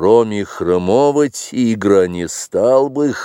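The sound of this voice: Lively intonation runs through the speaker's unforced reading voice.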